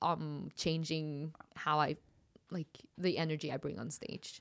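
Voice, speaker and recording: A woman speaks with a Norwegian accent. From far north Norway, Kirkenes by Russian border. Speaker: comedian. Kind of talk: casual chat. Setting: studio.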